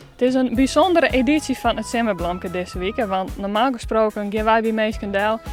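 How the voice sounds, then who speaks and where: A woman talks at a fairly quick pace with ordinary pitch variation while music plays in the background. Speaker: regional TV reporter. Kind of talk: casual talk to camera.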